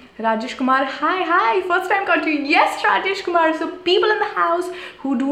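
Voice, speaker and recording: Over noticeable background noise and audible room echo, a woman speaks at a moderate pace with very wide pitch swings. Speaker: youtuber. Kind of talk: live stream chat. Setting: small room, live stream. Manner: whispering; animated. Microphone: possible echo, may be hard to hear.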